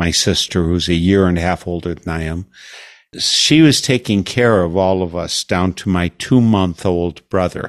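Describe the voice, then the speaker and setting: Speaking at a fairly slow pace, a man has a very deep, low pitch with ordinary pitch variation. He has a General American accent. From United States. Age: 60s. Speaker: radio host. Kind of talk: interview. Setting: video call.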